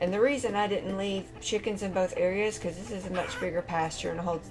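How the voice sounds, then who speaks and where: Over music in the background, a soft-spoken woman with a medium pitch mumbles at a fairly quick pace with fairly even intonation. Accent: Southern US. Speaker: gaming YouTuber. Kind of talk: game tutorial commentary. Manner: mumbling.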